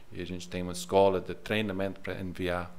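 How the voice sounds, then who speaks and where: A man with an English accent, with audible room echo. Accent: English accent in Portuguese, non-native. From England. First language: English (speaking Portuguese). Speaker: missionary leader. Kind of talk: podcast interview. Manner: halting, searching for words.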